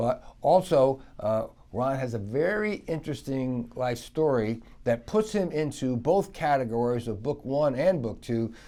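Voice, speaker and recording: A man speaks at a fairly slow pace with lively intonation, his medium-pitched voice dark and mellow in tone. The recording is very clean, with a silent background. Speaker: financial planner, podcast host. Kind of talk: podcast interview host.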